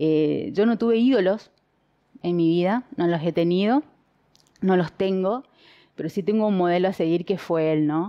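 A woman at a moderate pace with long, frequent pauses, very even loudness and ordinary pitch variation, against a quiet background. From Argentina, Chaco (Resistencia); Chaco, Argentina. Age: 40s. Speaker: politician; candidate. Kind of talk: interview. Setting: at home. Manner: halting. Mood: warm, reflective. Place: home room. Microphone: headset.

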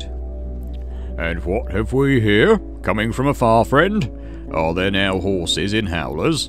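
A booming put-on character voice from a man, very deep and low, at a fairly slow pace with clear music in the background. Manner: close to a shout.

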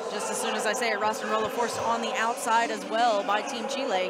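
Talking at a very fast pace with an American accent, the speaker sounds dry with no echo against loud background noise. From US South, Arkansas. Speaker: sports commentator. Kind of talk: live commentary. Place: hall.

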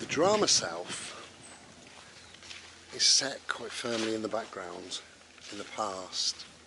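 Talking at a very slow pace, a man uses ordinary pitch variation. The sound is dry with no echo, though noticeable background noise is present. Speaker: vlogger. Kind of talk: casual reflective vlog chat. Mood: calm, contemplative. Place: open country. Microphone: phone near.

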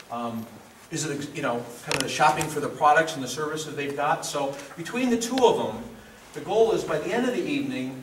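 Fairly quick speech comes through with audible room echo and light background noise. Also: man. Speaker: workshop host. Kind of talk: introductory remarks to an audience. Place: hall. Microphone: camera far.

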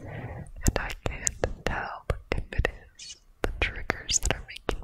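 Someone whispers at a very slow pace. Loud background noise fills the recording. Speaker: ASMR creator. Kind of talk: soft-spoken ASMR chat. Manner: deep close-mic whisper, sleepy. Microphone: studio mic.

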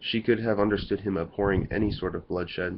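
The text is given in plain reading aloud, its intonation fairly even.

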